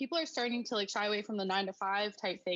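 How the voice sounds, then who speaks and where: Talking at a very fast pace, a woman speaks with a Canadian accent and a fairly high pitch. Her bright, sharp tone carries ordinary pitch variation. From Alberta, Canada. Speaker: small business owner. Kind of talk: interview.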